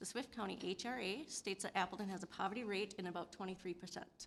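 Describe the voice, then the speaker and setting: Talking very fast, a woman speaks in an American accent. Her pitch variation is ordinary. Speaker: city official. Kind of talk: public meeting presentation.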